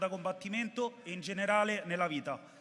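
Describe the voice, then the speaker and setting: A high-pitched man at a fairly quick pace, against noticeable background noise. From Rome, Italy. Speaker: audience member asking a question. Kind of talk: press conference question. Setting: press conference with audience.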